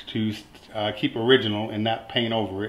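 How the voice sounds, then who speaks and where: The voice belongs to a man. He talks at a fairly slow pace. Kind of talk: casual tutorial vlog. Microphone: phone near.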